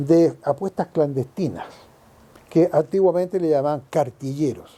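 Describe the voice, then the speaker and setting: A man with a Chilean accent, fairly slow in pace, with lively intonation and a dark, mellow tone. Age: 70s. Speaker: longtime neighborhood resident. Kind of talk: oral history interview answer.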